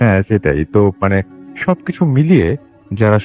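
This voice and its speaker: A man's voice, dry and close with no echo, over music in the background. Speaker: radio show host (horror FM). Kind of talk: radio horror show host conversation.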